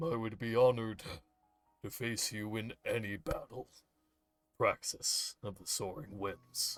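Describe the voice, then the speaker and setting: With music in the background, a man puts on a character voice at a medium pitch, moving at a fairly slow pace with long, frequent pauses and big swings in loudness. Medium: actual play. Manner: steady, formal, understated.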